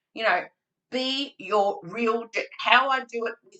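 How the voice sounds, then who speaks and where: The speaker has an Australian accent and a bright, sharp tone. The delivery is animated, with vocal fry. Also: woman. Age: 60s. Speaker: early childhood trainer. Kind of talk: webinar presentation. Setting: video call.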